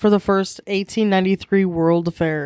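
Hers is an unremarkable speaking voice, medium in pitch. The woman's recording is very clean, with a silent background and a dry, close sound with no echo. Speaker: podcast co-host. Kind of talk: casual chat. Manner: joking, playful.

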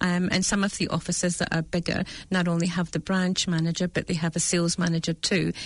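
A woman speaks very fast in a fairly low, somewhat breathy voice, with monotone, flat intonation and very even loudness. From Scotland, Dundee. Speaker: real estate agent and manager. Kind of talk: casual interview chat. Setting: studio.

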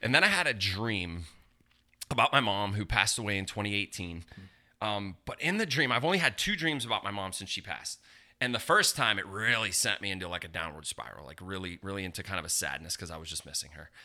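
A man with an American accent talks very fast at a fairly low pitch, his bright, sharp tone carrying lively intonation and big swings in loudness in a very clean recording with a silent background. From southwestern Pennsylvania, near Pittsburgh. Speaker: pastor. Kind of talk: interview testimony.

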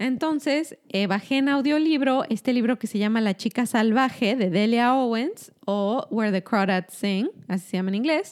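On a very clean recording with a silent background, a woman uses a normal speaking voice, fairly high in pitch, with lively intonation, very even loudness, a moderate pace and hardly any pauses. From Mexico. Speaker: doctor. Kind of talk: casual chat.

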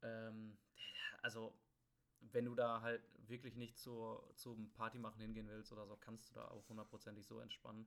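A man talks at a medium pitch and moderate pace, with a monotone, flat intonation. His loudness swings widely, and he leaves long, frequent pauses. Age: 20s. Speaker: podcast host, student. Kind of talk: casual chat. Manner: halting, many filler words.

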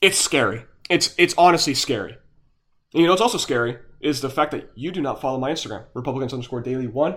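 Speaking very fast in an animated tone, a man with a fairly high voice swings widely in loudness on a very clean recording with a silent background. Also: ordinary pitch variation. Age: young. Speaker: political podcast host. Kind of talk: solo political commentary.

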